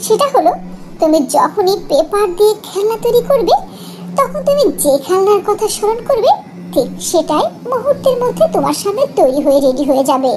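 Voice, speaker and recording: A cartoonish character voice moves at a moderate pace over clear background noise. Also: female-sounding voice, extremely high pitch for a woman. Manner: warm, gracious.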